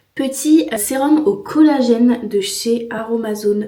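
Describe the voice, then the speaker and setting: Ordinary pitch variation with audible room echo. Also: woman. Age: 20s. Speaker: vlogger. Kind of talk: casual vlog talk to camera. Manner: casual, hesitant with many fillers.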